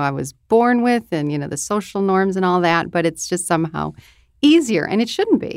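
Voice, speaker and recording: On a very clean recording with a silent background, a woman with a plain, everyday voice speaks at a moderate pace in a fairly low pitch with ordinary pitch variation. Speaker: radio host. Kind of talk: casual panel discussion.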